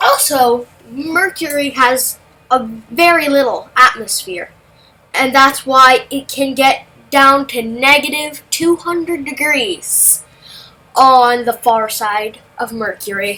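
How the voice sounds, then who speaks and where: A woman talks at a very slow pace in a raised, projected voice with a bright, sharp tone. Her pitch is high, with ordinary variation. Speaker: amateur science video narrator. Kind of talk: casual educational explainer over simulator footage. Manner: animated, halting with restarts.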